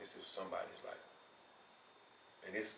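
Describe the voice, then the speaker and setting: A man's voice with audible room echo. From Memphis, Tennessee. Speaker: rapper. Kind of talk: interview.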